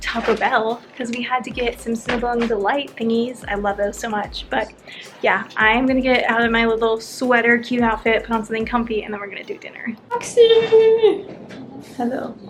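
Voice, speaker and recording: A woman with an American accent talks at a moderate pace in a fairly high pitch. Music plays in the background. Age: 20s. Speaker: lifestyle vlogger. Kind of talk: casual vlog narration. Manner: animated.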